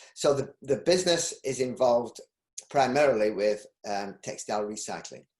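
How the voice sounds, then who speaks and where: Lively intonation in a Yorkshire accent at a moderate pace. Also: man, medium pitch for a man. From Yorkshire, northern England. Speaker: textile recycling business owner. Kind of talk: interview. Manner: halting.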